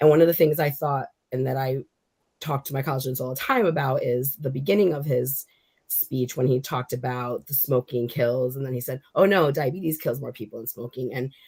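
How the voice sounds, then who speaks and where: A woman's somewhat breathy, very deep, low-pitched voice at a fairly quick pace. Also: ordinary pitch variation. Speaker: committee member. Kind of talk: committee meeting discussion. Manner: halting.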